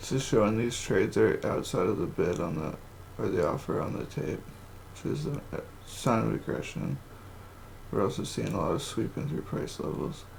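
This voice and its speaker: A man at a moderate pace, with audible room echo. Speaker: day trader. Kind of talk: trading session commentary; casual vlog intro.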